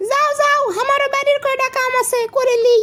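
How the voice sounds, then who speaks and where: A cartoonish character voice, female-sounding and extremely high-pitched, speaks at a moderate pace. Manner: shy.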